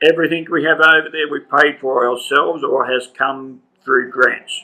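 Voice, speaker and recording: Flat, monotone intonation marks this man's Australian accent. He speaks at a moderate pace with a fairly high pitch. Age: 70s. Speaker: railway heritage volunteer. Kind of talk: interview.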